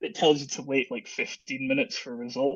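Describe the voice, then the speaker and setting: A man is talking. He speaks very fast, in a Scottish accent. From Scotland. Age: 30s. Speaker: long covid patient sharing his story. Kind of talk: podcast interview.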